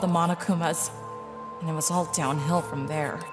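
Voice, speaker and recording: A woman's fairly low-pitched voice at a fairly quick pace, with music in the background. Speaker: voice actor. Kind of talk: audiobook narration.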